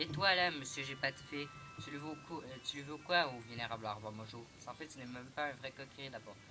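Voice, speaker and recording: With music in the background, a man's fairly high voice shows ordinary pitch variation and big swings in loudness. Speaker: gaming youtuber. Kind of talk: let's play commentary. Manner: fast; halting.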